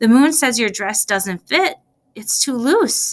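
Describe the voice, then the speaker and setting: A woman puts on a character voice, soft-spoken and raspy with a high pitch. She speaks at a fairly slow pace. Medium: read story.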